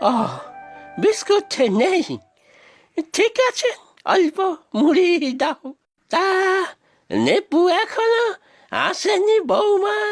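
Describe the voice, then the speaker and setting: In a cartoonish character voice, a speaker talks at a very slow pace with an extremely high pitch, while faint music plays in the background. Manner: weary, gentle.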